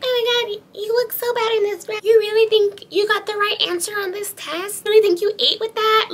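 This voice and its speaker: A put-on character voice at an extremely high pitch talks at a fairly quick pace. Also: hardly any pauses. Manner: annoying, nagging, mean.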